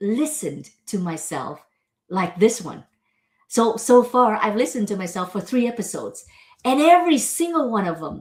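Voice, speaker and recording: A woman's animated, somewhat breathy voice, fairly high, at a moderate pace with very wide pitch swings and big swings in loudness, on a very clean recording with a silent background. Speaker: show host and teacher. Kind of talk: solo monologue reflection.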